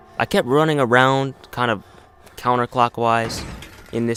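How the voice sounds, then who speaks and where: The speaker is a man with a medium-pitched voice. He talks at a moderate pace with ordinary pitch variation. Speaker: gaming YouTuber. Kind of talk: gameplay commentary. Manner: loud.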